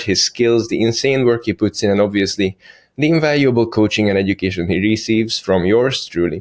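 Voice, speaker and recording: An unremarkable speaking voice moves at a fairly quick pace with ordinary pitch variation and very even loudness, in a dry, close sound with no echo. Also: man, fairly low pitch for a man. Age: 30s. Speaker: fitness coach. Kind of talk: podcast host talk. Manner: playful, teasing.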